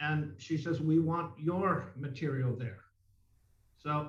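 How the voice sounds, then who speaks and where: The voice belongs to a man with a fairly high pitch and a somewhat breathy quality. Audible room echo surrounds it. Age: 60s. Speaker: mime artist. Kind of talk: interview. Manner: conversational, with many fillers.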